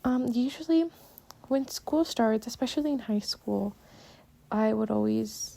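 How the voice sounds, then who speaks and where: A woman with a Spanish accent speaks at a fairly slow pace, leaving long, frequent pauses. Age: young. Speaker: podcaster, college student. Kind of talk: casual monologue. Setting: recording at home while doing chores. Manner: halting. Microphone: poor mic, sounds bad.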